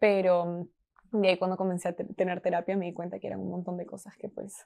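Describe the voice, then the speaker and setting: A woman with a Peruvian accent speaks fairly quickly in a fairly low pitch with a dark, mellow tone, flat monotone intonation and big swings in loudness. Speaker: marketing team member. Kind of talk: podcast interview answer.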